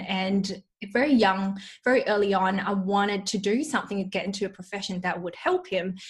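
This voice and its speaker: Somewhat breathy, a woman with a medium pitch talks at a moderate pace with fairly even intonation. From Malaysia. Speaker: dietitian. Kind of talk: interview.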